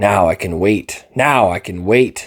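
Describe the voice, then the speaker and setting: In a put-on character voice, a man talks at a fairly slow pace, his raspy delivery showing ordinary pitch variation. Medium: read story. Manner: furtive, obsessive.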